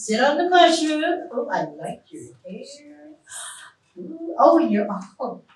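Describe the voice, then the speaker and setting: A woman's high voice at a fairly slow pace, with very wide pitch swings, long, frequent pauses and audible room echo. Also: big swings in loudness. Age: 60s. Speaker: psychic medium. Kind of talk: live stage psychic reading show. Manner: animated.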